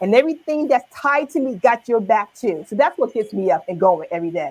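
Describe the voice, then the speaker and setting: Very wide pitch swings mark a woman's fairly high-pitched voice. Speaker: business owner. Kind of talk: interview. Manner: halting.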